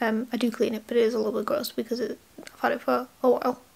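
A woman's mumbling in a British accent, fairly quick, with monotone, flat intonation. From UK. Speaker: YouTuber. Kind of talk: casual vlog. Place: home room. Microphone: webcam.

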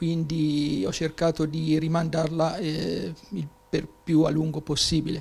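A man speaks at a fairly slow pace. His intonation stays monotone and flat. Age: 60s. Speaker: patient. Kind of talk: testimony. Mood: calm, pleased. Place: home room. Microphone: handheld.

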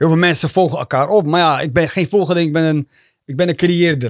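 Against a quiet background, a man speaks at a very fast pace in a dry sound with no echo. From Rotterdam, Netherlands (born in Eritrea); Netherlands. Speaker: rapper and youth coach; youth coach. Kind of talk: casual chat. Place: studio. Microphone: studio mic.

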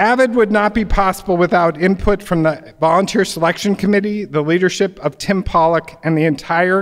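A man speaks at a high pitch and fairly quick pace with lively intonation. The background is quiet. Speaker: library foundation board member, event host. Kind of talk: event introduction. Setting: stage with audience. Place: hall. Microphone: podium.

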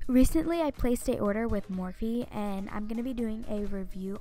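A woman speaks at a fairly quick pace. The sound is dry with no echo, and faint music plays behind her. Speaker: beauty vlogger. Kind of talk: makeup tutorial narration.

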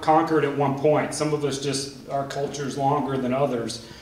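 Audible room echo surrounds a man speaking with monotone, flat intonation. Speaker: panelist. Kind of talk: panel talk. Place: stage.

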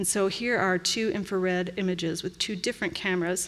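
A woman's intonation stays fairly even as she talks at a fairly quick pace. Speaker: paintings conservator. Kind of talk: conference lecture. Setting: stage with audience. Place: hall.

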